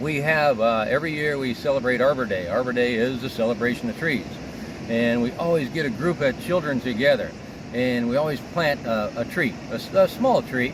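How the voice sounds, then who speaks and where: Speech at a fairly quick pace with ordinary pitch variation comes over noticeable background noise. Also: man, medium pitch for a man. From US Midwest (Illinois). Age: 60s. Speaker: arborist. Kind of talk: interview. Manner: halting, with many fillers.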